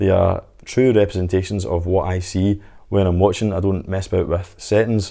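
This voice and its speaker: In a Scottish accent, a man speaks with a fairly low pitch and a dark, mellow tone. His intonation is fairly even against a quiet background. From Scotland. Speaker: home media reviewer. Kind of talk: product review to camera.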